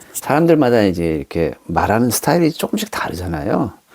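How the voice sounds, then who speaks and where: In a dry, close recording with no echo, a man speaks at a moderate pace with a fairly low pitch and a dark, mellow tone. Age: 50s. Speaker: beginner YouTuber. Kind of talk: casual talk to camera.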